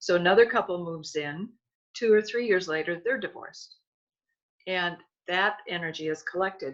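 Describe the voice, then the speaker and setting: In an American accent, a woman with a fairly low pitch speaks at a moderate pace with ordinary pitch variation. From US Midwest, Milwaukee Wisconsin. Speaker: author and energy healer. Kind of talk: interview.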